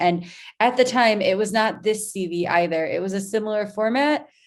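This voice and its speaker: Speaking with an American accent, a woman keeps a moderate pace and ordinary pitch variation. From US Northeast, Rochester New York. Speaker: content marketer. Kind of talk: presentation. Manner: hesitant, many fillers.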